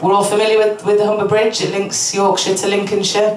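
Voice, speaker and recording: A woman at a very fast pace, with audible room echo and noticeable background noise. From northern England, Hull. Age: 30s. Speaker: stand-up comedian. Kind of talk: stand-up. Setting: stage with audience. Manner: halting.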